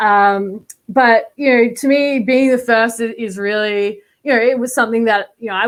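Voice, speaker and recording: Here a woman speaks in an Australian accent at a moderate pace. Her pitch variation is ordinary, and the recording is very clean with a silent background. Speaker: college football quarterbacks coach. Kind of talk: podcast interview.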